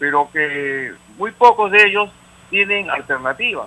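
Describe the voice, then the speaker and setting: At a very slow pace, a man with a high pitch uses a raised, projected voice with ordinary pitch variation. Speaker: caller. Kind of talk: call-in opinion.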